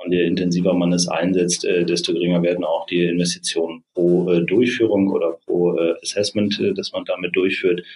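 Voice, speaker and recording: Barely pausing, a man talks at a moderate pace. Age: 40s. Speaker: organizational psychologist and startup co-founder. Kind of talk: interview. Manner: many filler sounds, hesitant.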